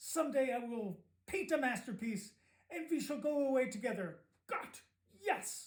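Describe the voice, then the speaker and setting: Putting on a gruff character voice, a man speaks at an extremely high pitch with lively intonation and a moderate pace. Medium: read story. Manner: gruff, blustering.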